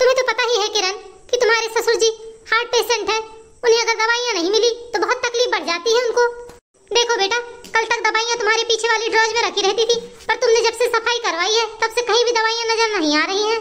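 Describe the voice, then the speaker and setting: A cartoonish character voice from a woman, extremely high-pitched and very fast, with fairly even intonation. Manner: careful, conciliatory.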